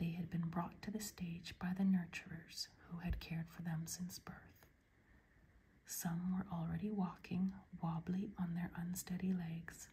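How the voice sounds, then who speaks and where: Speaking softly, this voice moves at a fairly slow pace. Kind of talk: ASMR book reading. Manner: soft-spoken, quiet.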